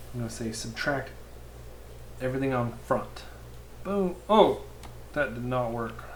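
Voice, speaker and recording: Speech comes out mumbled at a fairly slow pace, broken by long, frequent pauses. Audible room echo surrounds it. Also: man. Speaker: live streamer doing web design. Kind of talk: live stream tutorial. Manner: mumbling to himself.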